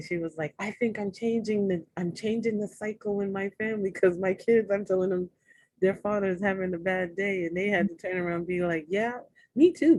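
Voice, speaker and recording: A soft-spoken woman talks at a moderate pace with an American accent. Her pitch is medium and her intonation fairly even. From New York City. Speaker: podcast guest, women's empowerment speaker. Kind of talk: casual interview chat.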